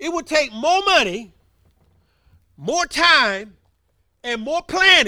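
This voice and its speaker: Speaking very slowly in a raised, projected voice, a man lets his pitch swing very widely, his tone bright and sharp. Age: 70s. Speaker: preacher. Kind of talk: sermon. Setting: church.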